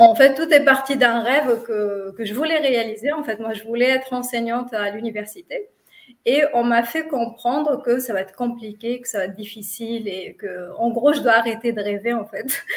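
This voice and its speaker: The voice moves at a moderate pace, with ordinary pitch variation and big swings in loudness. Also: woman, high pitch for a woman. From Tunisia. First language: not French (speaking French). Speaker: physiotherapist, lecturer and children's author. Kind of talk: interview. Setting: live video stream. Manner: hesitant, many fillers.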